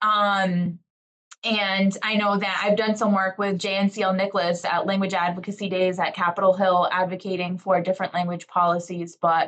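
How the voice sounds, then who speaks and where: The woman's medium-pitched voice holds a monotone, flat intonation. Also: moderate pace. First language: Portuguese. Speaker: educator on a panel. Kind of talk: panel discussion. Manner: halting.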